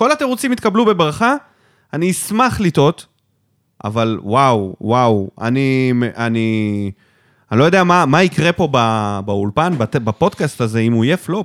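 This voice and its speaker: On a very clean recording with a silent background and a dry, close sound without echo, a man speaks at a fairly slow pace with very wide pitch swings. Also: medium pitch for a man. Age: 30s. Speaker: football podcast host. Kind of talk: casual chat.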